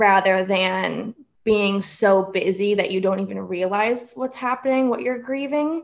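A woman's unremarkable speaking voice at medium pitch, fairly slow in pace, with ordinary pitch variation. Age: 20s. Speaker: author. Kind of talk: casual chat.

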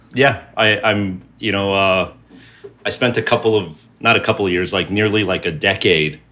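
The speaker has a New Jersey accent and a bright, sharp tone. Delivery is fairly slow, with ordinary pitch variation. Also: man. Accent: American (New Jersey). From New Jersey, US. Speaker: creative director and entrepreneur. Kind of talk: casual chat.

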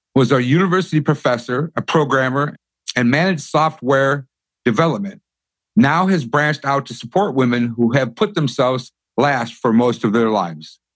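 A man's fairly high, plain, everyday voice with lively intonation, a moderate pace, and a quiet background. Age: 50s. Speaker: podcast host. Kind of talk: scripted introduction; interview.

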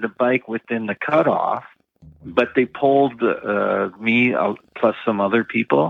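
A man's voice sits at a medium pitch, and his intonation is lively. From Canada. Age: 60s. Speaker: retired bank worker and triathlete. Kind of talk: casual interview.

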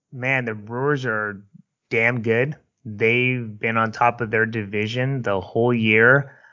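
A man with a Bay Area accent and a monotone, flat intonation. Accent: Bay Area California. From San Francisco Bay Area. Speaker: podcast co-host. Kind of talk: casual chat. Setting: video call.

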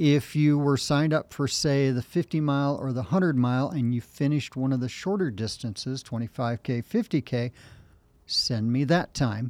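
With a normal speaking voice, a man talks at a moderate pace and medium pitch with ordinary pitch variation, in a very clean recording with a silent background and a dry, close sound with no echo. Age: 60s. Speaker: race director and ultrarunner. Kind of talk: casual interview.

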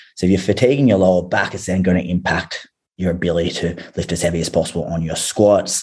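This man talks at a very fast pace with an Australian accent. His voice is very deep and low. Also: ordinary pitch variation. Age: 30s. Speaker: fitness coach. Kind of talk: casual chat.

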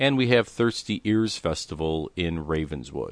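A man with a Chicago accent at a moderate pace, with ordinary pitch variation and a quiet background. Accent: Chicago American. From Chicago, South Side. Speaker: podcast producer and host. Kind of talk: solo event roundup.

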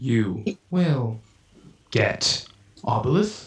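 The voice is a man's, deliberately put on as a character. It sits at a medium pitch. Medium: actual play. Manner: terse, broken phrasing, menacing.

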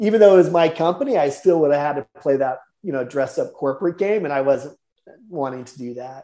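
A man speaks at a fairly quick pace with a fairly high pitch, a dark, mellow tone, ordinary pitch variation and big swings in loudness. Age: 40s. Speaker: entrepreneur. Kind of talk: interview. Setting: podcast. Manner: halting.

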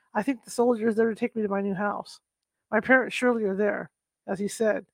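Heard against a quiet background, a natural reading voice keeps a fairly even intonation.

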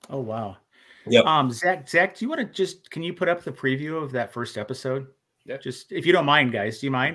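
A man with an American accent, a fairly high pitch and a bright, sharp tone, lively in intonation and fairly quick in pace. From Minnesota. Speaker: paranormal podcast host. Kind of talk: casual chat. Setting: video call with guests.

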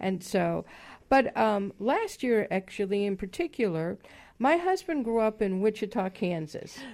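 A woman with an American accent has an unremarkable speaking voice, fairly high in pitch. She talks at a fairly slow pace over a quiet background. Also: lively intonation. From Chicago, US Midwest. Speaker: property management consultant. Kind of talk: radio interview.

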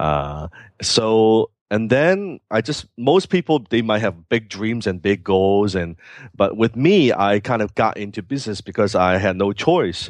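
In a Hong Kong accent, a man speaks at a fairly slow pace with a fairly low pitch and lively intonation over a quiet background. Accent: Hong Kong Cantonese-accented English. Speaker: entrepreneur. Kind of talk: interview. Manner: halting.

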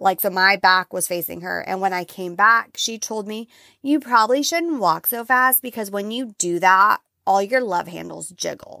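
A woman speaks loudly at a medium pitch and moderate pace, her tone animated and her intonation lively, in a dry, close sound with no echo on a very clean recording with a silent background. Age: 30s. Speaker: podcast host. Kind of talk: motivational solo monologue. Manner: loud, animated.

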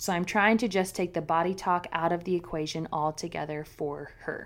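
With an ordinary speaking voice, a woman talks at a fairly quick pace, medium in pitch, her intonation fairly even. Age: 30s. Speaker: podcast co-host. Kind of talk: casual chat.

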